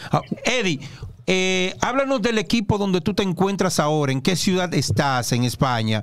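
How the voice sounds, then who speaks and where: Speaking with a Dominican accent, a man talks at a fairly slow pace. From Dominican Republic. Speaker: basketball show host. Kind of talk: sports talk show interview. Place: studio. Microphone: studio mic.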